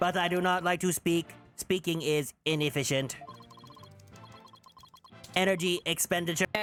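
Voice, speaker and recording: A put-on, robotic character voice at a middle pitch speaks at a moderate pace as faint music plays in the background. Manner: flat, monotone.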